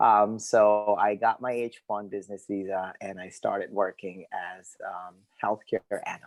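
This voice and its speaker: A man with a fairly low pitch speaks fairly slowly in a monotone, flat delivery, with hardly any pauses, big swings in loudness and a dry, close sound with no echo. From Pakistani family, born in Saudi Arabia. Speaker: behavioral health professional. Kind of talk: podcast interview.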